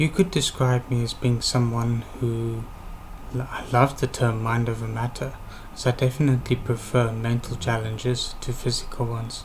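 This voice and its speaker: This man talks at a moderate pace. There is noticeable background noise. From South Africa, Western Cape (Worcester). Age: 20s. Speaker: university applicant. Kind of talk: interview presentation.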